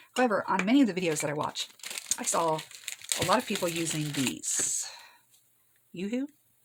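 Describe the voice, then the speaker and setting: A woman speaks at a medium pitch and a fairly quick pace, her voice making very wide pitch swings. She leaves long, frequent pauses. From Michigan, then US South from age fourteen. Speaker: crafting YouTuber. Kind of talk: casual craft tutorial chat. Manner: chatty, casual.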